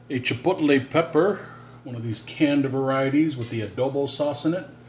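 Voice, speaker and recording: Somewhat breathy, a man speaks at a moderate pace with lively intonation. His pitch is fairly high. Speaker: cooking video host. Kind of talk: cooking tutorial. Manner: casual, conversational.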